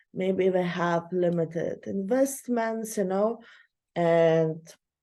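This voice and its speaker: A woman's dark, mellow voice at a medium pitch, with a non-native accent and ordinary pitch variation, against a quiet background. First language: not English. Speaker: online course instructor. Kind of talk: lecture. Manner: halting, many fillers.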